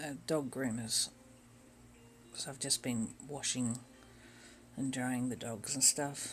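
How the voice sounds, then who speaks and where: Over music in the background, a man at medium pitch speaks very slowly in a monotone, flat way, with long, frequent pauses. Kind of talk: casual chat while crafting. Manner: halting with fillers.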